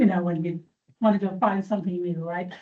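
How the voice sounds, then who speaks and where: A woman speaks in a dark, mellow, somewhat breathy tone with fairly even intonation. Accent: English. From England. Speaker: church trustee and cemetery volunteer. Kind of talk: informal presentation to a meeting. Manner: conversational, hesitant with fillers.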